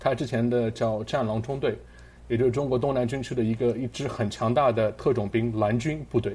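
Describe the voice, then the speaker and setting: This man talks at a fairly quick pace in a somewhat breathy, dark and mellow voice of medium pitch, his intonation fairly even. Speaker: podcast host. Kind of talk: casual chat.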